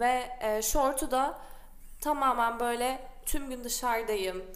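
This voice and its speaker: This woman's fairly high voice carries an audible room echo. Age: 20s. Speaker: designer. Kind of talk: casual chat.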